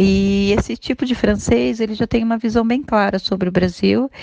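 A woman's medium-pitched voice with a Brazilian accent and ordinary pitch variation. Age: 30s. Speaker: immigrant. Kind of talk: testimony. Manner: formal.

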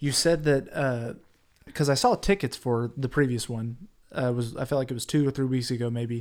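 In a normal speaking voice, a man talks at a fairly quick pace and a medium pitch with fairly even intonation. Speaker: podcast host. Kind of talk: podcast interview.

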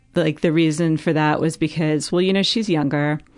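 A woman's very deep, low voice with an American accent and fairly even intonation, against a quiet background. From US West Coast, Los Angeles area. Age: 30s. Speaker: breast cancer survivor guest. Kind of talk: casual interview chat.

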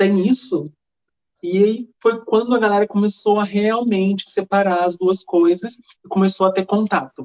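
The woman speaks with a plain, everyday voice at a medium pitch. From Minas Gerais, Brazil. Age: 20s. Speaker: dancer and choreographer. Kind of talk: podcast interview.

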